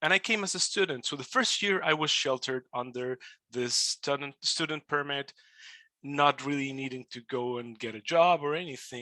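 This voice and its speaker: Speaking in a Spanish accent at a moderate pace, a man with a fairly high pitch and a bright, sharp tone shows ordinary pitch variation and big swings in loudness, heard in a dry, close sound with no echo. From Mexico. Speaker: immigrant podcaster. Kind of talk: webinar talk. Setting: webinar.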